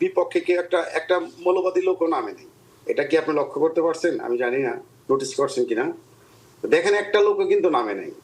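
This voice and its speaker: Over noticeable background noise, a man speaks with big swings in loudness. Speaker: political party organizer. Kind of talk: interview. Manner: animated.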